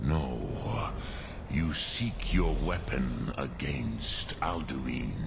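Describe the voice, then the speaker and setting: A man speaks in a put-on character voice at a very slow pace, with long, frequent pauses. Loud background noise runs underneath. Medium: actual play. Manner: slow, measured, sprinkled with dragon words.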